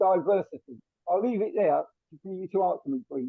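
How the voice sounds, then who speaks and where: This man speaks in a London accent. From South London. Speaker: carers' consultant, audience member. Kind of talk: audience question in webinar.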